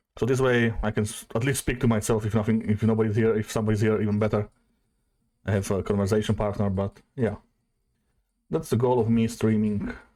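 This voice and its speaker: A man with a Slovak accent talks at a fairly quick pace in a fairly low, dark, mellow voice, his intonation monotone and flat and his loudness very even. The recording is very clean, with a silent background. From Slovakia. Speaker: streamer. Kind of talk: casual chat. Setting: live stream. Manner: halting.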